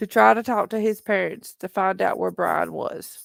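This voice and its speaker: A woman speaks very slowly with a Southern accent, her voice dry and close with no echo on a very clean recording over a silent background. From Tennessee, Appalachia. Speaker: true crime livestream host. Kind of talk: casual livestream chat. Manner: animated.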